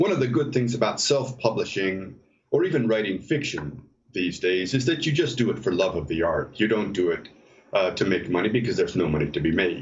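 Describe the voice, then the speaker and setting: A man with an American accent and a medium pitch speaks at a fairly quick pace, somewhat breathy, with very wide pitch swings and very even loudness against audible room echo. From US Midwest (Detroit, Ohio, Minnesota). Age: 60s. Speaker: novelist. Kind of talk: interview. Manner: halting, many fillers.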